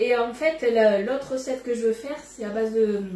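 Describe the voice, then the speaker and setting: Over noticeable background noise and audible room echo, a woman speaks at a moderate pace with a fairly high pitch and ordinary pitch variation. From Bordeaux, southwest France. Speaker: cookware sales consultant. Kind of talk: live cooking demonstration. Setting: home kitchen, live stream. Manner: casual, chatty.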